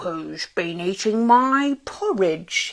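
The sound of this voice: In a put-on character voice, a female-sounding speaker uses a gruff, fairly high pitch.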